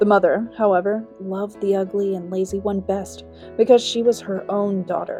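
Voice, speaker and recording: A woman's medium-pitched voice in monotone, flat intonation at a moderate pace, with music in the background. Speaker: audiobook narrator, amateur voice actor. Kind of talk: fairy tale audiobook narration. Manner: storytelling, narrative.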